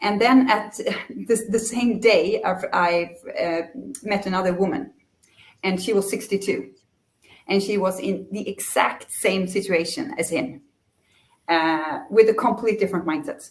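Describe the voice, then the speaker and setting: A somewhat breathy woman's voice at a fairly slow pace, broken by long, frequent pauses. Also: medium pitch for a woman, ordinary pitch variation. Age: 40s. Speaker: career counselor and leadership coach. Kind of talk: casual interview chat. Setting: remote video link.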